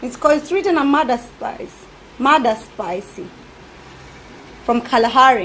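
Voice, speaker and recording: With a Kenyan accent and a high pitch, a woman speaks with lively intonation, big swings in loudness and long, frequent pauses over noticeable background noise. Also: moderate pace. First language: Kikuyu. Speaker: cooking vlogger. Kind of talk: cooking tutorial. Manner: casual, halting.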